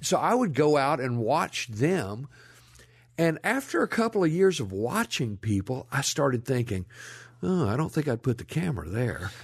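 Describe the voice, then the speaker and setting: Against a quiet background, a man with a Memphis accent speaks in a somewhat breathy voice, his pitch swinging very widely. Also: medium pitch for a man, moderate pace. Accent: Southern US (Memphis). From US South. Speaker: historian, author and filmmaker. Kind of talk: interview conversation, storytelling. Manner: talkative.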